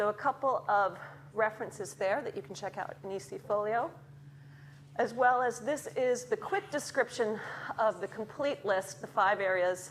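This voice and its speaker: A woman with an American accent talks at a moderate pace and fairly high pitch. Her intonation is lively, and background noise is noticeable. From Chicago, US. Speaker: academic researcher in early childhood education. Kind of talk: lecture. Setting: lecture theatre with audience.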